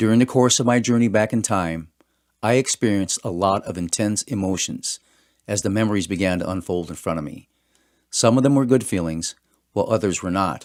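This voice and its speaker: A man in a normal speaking voice, fairly low-pitched, talks at a fairly quick pace with ordinary pitch variation, the sound dry and close with no echo on a very clean recording over a silent background. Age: 60s. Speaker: author. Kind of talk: reading aloud.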